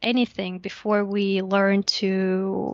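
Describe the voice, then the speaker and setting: A woman talks at a medium pitch. The background is quiet and the sound is dry and close, with no echo. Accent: Russian. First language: Russian. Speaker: investor relations specialist at a lending platform. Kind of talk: podcast interview.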